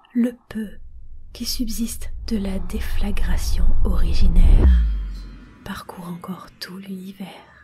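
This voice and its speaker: Against music in the background, a woman speaks at a very slow pace with long, frequent pauses. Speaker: reader. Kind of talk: literary text reading.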